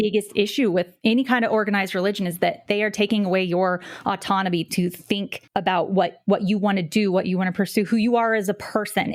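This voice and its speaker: With an American accent, the speaker talks at a fairly quick pace using fairly even intonation. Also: woman. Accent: non-regional American. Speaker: podcast co-host. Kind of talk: casual chat.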